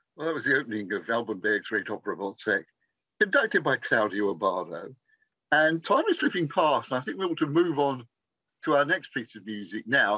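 Over a quiet background, a man with an English accent speaks in a fairly high pitch with very wide pitch swings, a bright, sharp tone, and vocal fry. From England. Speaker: interviewer. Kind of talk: interview. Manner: polite, formal. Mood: warm, enthusiastic. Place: home room. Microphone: video call.

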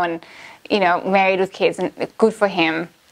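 The speaker goes at a moderate pace. The background is quiet. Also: woman. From Canada. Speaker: language-learning vlogger. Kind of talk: casual vlog monologue. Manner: animated. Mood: wry, amused storytelling. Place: studio.

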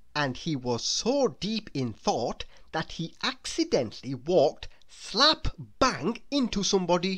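A woman talks at a fairly slow pace in a fairly low voice. Her tone is fairly bright, with big pitch swings.

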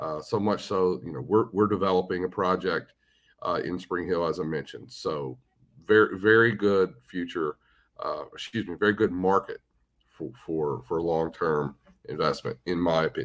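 The background is quiet. A man speaks with a very deep, low pitch. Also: ordinary pitch variation, moderate pace. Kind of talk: interview answer. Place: car. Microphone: video call.

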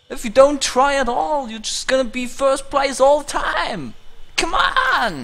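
Someone talks at a fairly slow pace over noticeable background noise. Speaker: gaming streamer. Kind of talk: profanity-laced angry rant at a video game, spiraling into absurd hypotheticals. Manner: exasperated, shouting outbursts of disbelief.

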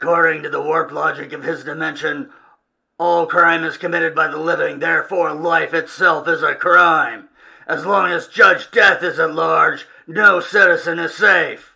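The speaker uses a put-on character voice. The delivery keeps to a moderate pace. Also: man. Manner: curt, gruff.

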